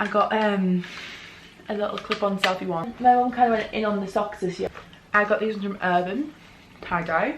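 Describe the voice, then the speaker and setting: A woman with a British accent at a medium pitch, fairly quick pace, ordinary pitch variation, long and frequent pauses, and noticeable background noise. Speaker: youtuber. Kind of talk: haul video, casual talk to camera. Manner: fast.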